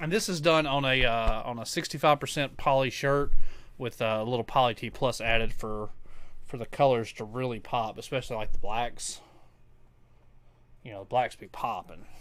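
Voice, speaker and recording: A man with a strong Tennessee accent speaks at a medium pitch with ordinary pitch variation, big swings in loudness and long, frequent pauses. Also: moderate pace. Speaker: crafter streaming custom order work. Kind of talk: casual live stream chat. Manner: casual, halting with fillers.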